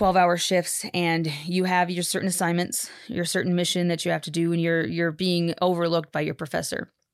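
Speaking fairly quickly with hardly any pauses, a woman with an American accent keeps a fairly low pitch and a monotone, flat intonation. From Texas. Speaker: podcast technician and former reporter and teacher. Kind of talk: casual interview chat.

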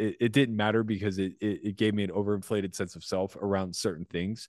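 Speaking at a fairly quick pace, a man uses a normal speaking voice with a fairly low pitch. He has an American accent. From US (small steel mill town). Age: 40s. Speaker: professional poker player. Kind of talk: casual chat.

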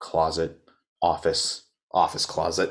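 A man with a very deep, low pitch speaks on a very clean recording with a silent background. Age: 20s. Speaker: podcast host, college student. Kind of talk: solo casual sports commentary. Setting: home recording, alone. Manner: animated, conversational.

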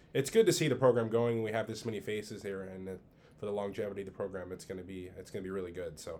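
A man with an American accent talks very fast at a fairly low pitch in a dark, mellow tone. His loudness swings widely, while his pitch varies in an ordinary way. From Southern California. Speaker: high school golf coach. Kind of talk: casual chat.

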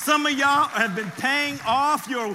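Amid noticeable background noise, a man with an extremely high pitch speaks in an animated tone with a raised, projected voice and ordinary pitch variation. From US, raised from age seven after birth in France. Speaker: pastor. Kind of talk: sermon.

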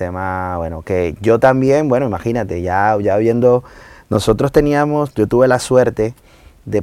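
A plain, everyday voice moves at a moderate pace with lively intonation. The recording is very clean, with a silent background. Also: man. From Venezuela, Maracay. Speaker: salsa singer. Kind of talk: casual chat.

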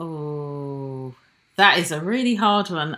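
Speaking very slowly, a woman with a British accent has a bright, sharp tone and lively intonation. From born in Nigeria, raised in Britain. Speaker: jazz saxophonist. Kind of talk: casual interview chat.

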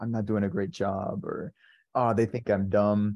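The background is quiet. This man's tone is dark and mellow. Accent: American. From San Diego, California. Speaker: software developer. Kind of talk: casual chat.

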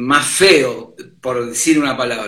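A man speaks with a bright, sharp tone. Room echo is audible. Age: 50s. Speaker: sound engineer and bassist. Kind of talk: casual chat.

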